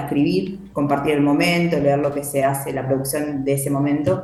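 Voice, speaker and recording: Speech at a moderate pace carries audible room echo along with noticeable background noise. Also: woman. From Argentina, Buenos Aires coast (Santa Teresita). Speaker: poet and writing workshop leader. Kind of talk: interview.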